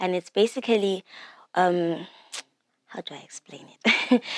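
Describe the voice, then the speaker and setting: A woman with a Zimbabwean accent, very slow, with ordinary pitch variation, in a dry, close sound with no echo. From Zimbabwe, Bulawayo. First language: Shona. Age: 20s. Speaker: singer and songwriter. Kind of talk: interview. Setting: studio.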